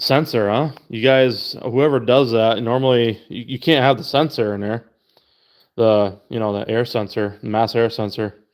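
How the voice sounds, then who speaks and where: Heard on a very clean recording with a silent background, a man in an ordinary speaking voice talks at a moderate pace with ordinary pitch variation. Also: medium pitch for a man. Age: 30s. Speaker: car enthusiast streamer. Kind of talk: casual livestream chat. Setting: livestream. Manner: casual, profane.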